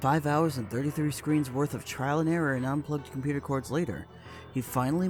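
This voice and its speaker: Music plays behind a man who speaks at a very fast pace and a fairly high pitch. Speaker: horror story narrator. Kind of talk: creepypasta story reading.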